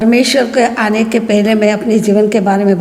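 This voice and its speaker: Music plays in the background as a woman speaks. Room echo is audible. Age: 70s. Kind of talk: testimony. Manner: halting.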